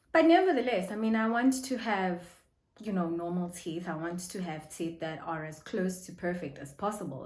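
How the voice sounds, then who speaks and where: Heard with audible room echo, a woman speaks at a moderate pace. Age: adult. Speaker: vlogger. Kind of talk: casual vlog talk.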